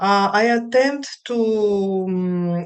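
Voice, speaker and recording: Against a quiet background, a woman with a Greek accent speaks at a medium pitch. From Greece. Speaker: counselor. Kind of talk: webinar lecture. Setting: live video stream. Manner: halting.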